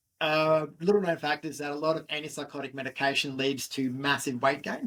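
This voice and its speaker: This man has a fairly high-pitched voice and speaks with an Australian accent. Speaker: fitness entrepreneur. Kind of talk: interview.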